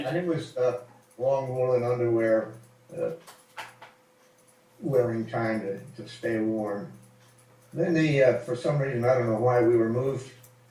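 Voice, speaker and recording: A man with an American accent speaks at medium pitch and a fairly slow pace, with ordinary pitch variation. Long, frequent pauses break his speech over noticeable background noise. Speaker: WWII fighter pilot veteran. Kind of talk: informal interview answer about war memories. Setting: voice call over Skype, poor recording quality. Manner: relaxed, conversational, hesitant with filler words.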